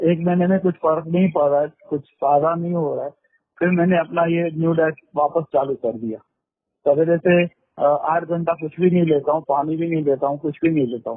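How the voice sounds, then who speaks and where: Intonation stays fairly even at a moderate pace. It is a plain, everyday voice. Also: man, fairly high pitch for a man. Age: 60s. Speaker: caller. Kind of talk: phone call.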